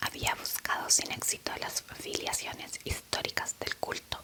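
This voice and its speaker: Background noise is clearly present. Under it, a woman whispers fairly slowly. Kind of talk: whispered audiobook reading. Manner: whispered.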